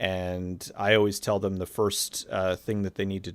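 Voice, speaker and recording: A man speaks at a very deep, low pitch in a monotone with flat intonation, on a very clean recording with a silent background. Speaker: YouTube movie reviewer. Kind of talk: casual interview chat. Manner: natural conversational, not radio voice; hesitant, many fillers.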